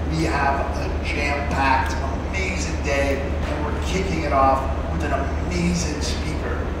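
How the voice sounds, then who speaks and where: Loud background noise and an audible room echo surround this man's voice. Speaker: event host. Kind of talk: stage announcement and intro. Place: hall. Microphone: pa.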